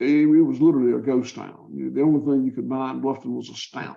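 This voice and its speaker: This is a man speaking. He talks with a Southern US accent. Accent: Southern US (Georgia). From US South, Georgia. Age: 60s. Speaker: farmer. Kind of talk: podcast interview.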